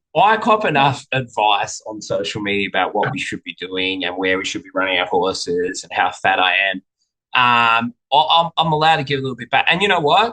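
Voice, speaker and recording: Speaking with an Australian accent, a man talks at a fairly quick pace and a medium pitch with very wide pitch swings. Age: middle-aged. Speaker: racehorse trainer. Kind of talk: casual chat.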